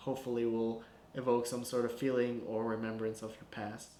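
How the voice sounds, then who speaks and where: A man with a Spanish accent speaks at a moderate pace. Audible room echo and noticeable background noise are present. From Guatemala. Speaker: filmmaker. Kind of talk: film breakdown commentary. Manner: casual, conversational with fillers.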